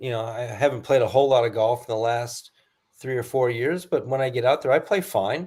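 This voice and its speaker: On a very clean recording with a silent background, a man talks at a moderate pace in a somewhat breathy voice of medium pitch. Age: 60s. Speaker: pro golfer. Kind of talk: casual chat.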